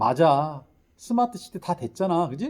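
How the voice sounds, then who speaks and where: A man's high-pitched voice, dark and mellow in tone, with very wide pitch swings. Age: 60s. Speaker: lecturer and teacher. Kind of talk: lecture.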